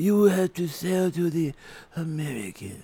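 Doing a put-on character voice, a man speaks at a moderate pace in a high pitch. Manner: gruff.

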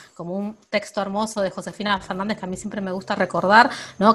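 A woman's somewhat breathy voice at medium pitch, with fairly even intonation and a fairly quick pace. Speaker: podcast co-host. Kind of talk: casual chat. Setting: at home, remote recording.

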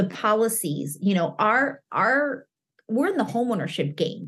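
Somewhat breathy, a woman speaks with an American accent at a medium pitch. Her intonation is lively. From Chicago. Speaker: mortgage industry professional and content creator. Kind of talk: interview. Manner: animated.

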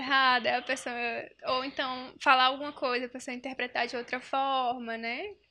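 Projecting her raised voice at a high pitch, a woman speaks at a moderate pace with a bright, sharp tone. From Northeast Brazil, União (Piauí). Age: 20s. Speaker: psychologist. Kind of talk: casual chat.

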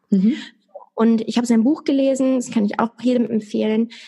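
Her intonation fairly even and pitch fairly high, a woman speaks at a moderate pace in a somewhat breathy voice. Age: 20s. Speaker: stroke survivor. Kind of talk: interview.

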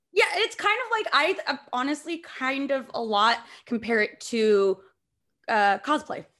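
Her high pitch swings very widely as this woman speaks at a fairly slow pace in a bright, sharp tone. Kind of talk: casual banter.

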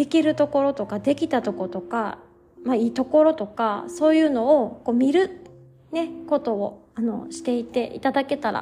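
In a Kansai accent, a woman speaks at a high pitch and a moderate pace, with a relaxed, gentle tone and lively intonation. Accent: Kansai Japanese. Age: 30s. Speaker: yoga instructor and podcast host. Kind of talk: casual solo talk; guided meditation.

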